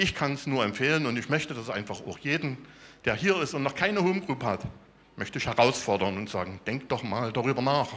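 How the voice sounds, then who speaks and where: Using an ordinary speaking voice, a man talks at a medium pitch and moderate pace with lively intonation. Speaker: software developer, church member. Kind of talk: testimony.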